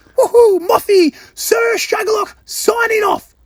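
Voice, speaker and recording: An animated man's voice in a dry, close recording with no echo. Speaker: podcast producer. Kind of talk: recorded voice message. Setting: recorded at a music festival. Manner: animated, shouting.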